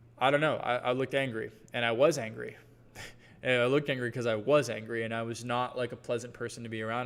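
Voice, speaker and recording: Talking at a very fast pace, a man with a slight Southern US accent keeps to a medium pitch. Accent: slight Southern twang. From US South, Georgia. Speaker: brand coach. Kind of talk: live workshop Q&A. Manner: casual, filler-heavy.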